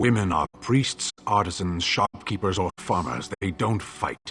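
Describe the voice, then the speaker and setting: A put-on character voice delivers its lines in a deadpan tone at a fairly slow pace. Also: man, very deep, low pitch for a man. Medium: video game. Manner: blunt, deadpan.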